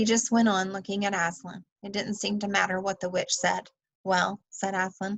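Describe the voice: Against a quiet background, someone does a plain reading aloud.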